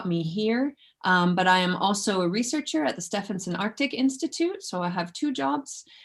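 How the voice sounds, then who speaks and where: A somewhat breathy woman's voice with very wide pitch swings, on a very clean recording with a silent background. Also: medium pitch for a woman, moderate pace. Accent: non-native. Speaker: researcher. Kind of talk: lecture. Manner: hesitant, many fillers.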